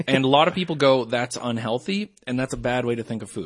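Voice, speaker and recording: A man's very fast speech, with a slight Canadian accent and ordinary pitch variation. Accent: mild Canadian. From Canada. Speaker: podcast guest, comedian and voice performer. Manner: explains at length, conversational.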